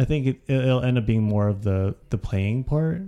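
A man speaks with an American accent at a moderate pace. He has a normal speaking voice. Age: 30s. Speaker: podcast co-host, nonprofit worker. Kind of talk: casual chat.

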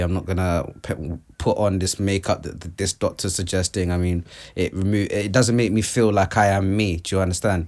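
A man at a fairly low pitch and moderate pace, in a very clean recording with a silent background. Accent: London. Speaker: artist. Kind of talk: casual chat.

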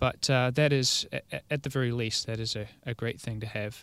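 A man with a New Zealand accent at a medium pitch, fairly even in intonation, at a moderate pace, in a very clean recording with a silent background. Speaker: arborist. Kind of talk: casual chat. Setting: studio.

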